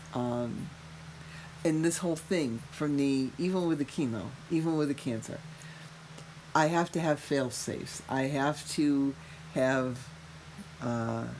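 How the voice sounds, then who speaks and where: Delivered in a Massachusetts accent, the speech moves at a fairly slow pace with long, frequent pauses and ordinary pitch variation. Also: woman, very deep, low pitch for a woman. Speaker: mother of the podcast host, cancer patient. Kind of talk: casual chat. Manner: animated.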